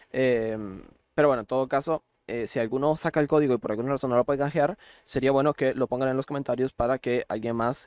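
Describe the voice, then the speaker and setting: The man talks at a fairly quick pace with a medium pitch and ordinary pitch variation. The background is quiet, and the sound is dry and close with no echo. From Costa Rica. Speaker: gaming YouTuber. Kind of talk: tutorial. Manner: hesitant, many fillers.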